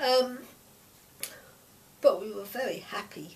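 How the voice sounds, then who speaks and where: A woman talks with an East London accent against noticeable background noise. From East London, Stepney. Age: 80s. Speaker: grandparent sharing memories. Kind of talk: oral history interview.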